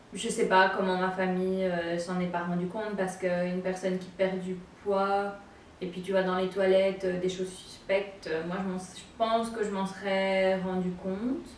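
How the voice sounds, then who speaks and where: Moderately paced speech from a woman at medium pitch, monotone and flat, over noticeable background noise. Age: 20s. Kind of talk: personal story told to camera. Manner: hesitant, many filler sounds.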